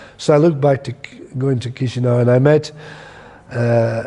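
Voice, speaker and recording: A man speaks with a Scottish accent over noticeable background noise. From Scotland. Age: 60s. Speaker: theatre director. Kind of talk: interview monologue. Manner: halting, with self-corrections.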